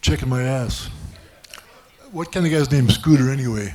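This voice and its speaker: Against noticeable background noise, a man of medium pitch talks at a fairly quick pace with lively intonation. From Germany. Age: 70s. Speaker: comedian. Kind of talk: stand-up. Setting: stage with audience.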